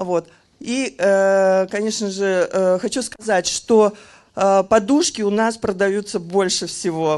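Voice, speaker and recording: Fairly even in intonation, a woman talks at a medium pitch over a quiet background. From Kazan, Russia; Russia. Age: 50s. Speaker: customer giving a product testimonial. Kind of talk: testimonial sales pitch. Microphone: handheld.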